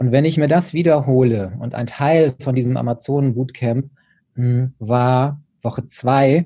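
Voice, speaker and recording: A man speaks at a very slow pace with ordinary pitch variation. His voice has a dark, mellow tone and is somewhat breathy. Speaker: personal development coach. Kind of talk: interview.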